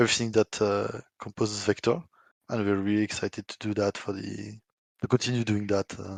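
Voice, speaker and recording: The speaker has a slight French accent and a monotone, flat delivery at a moderate pace. The sound is dry and close with no echo, over a quiet background. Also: man. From France. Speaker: software developer. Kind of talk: community AMA discussion.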